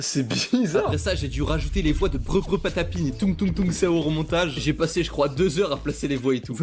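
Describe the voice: A man in a hoarse, put-on character voice talks at a fairly quick pace with hardly any pauses, music playing in the background.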